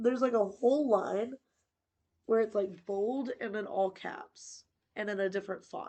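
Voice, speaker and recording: Fairly high in pitch, a woman with an American accent talks at a moderate pace with fairly even intonation. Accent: slight Southern US, stronger when tired. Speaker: book channel host. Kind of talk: reading aloud with commentary.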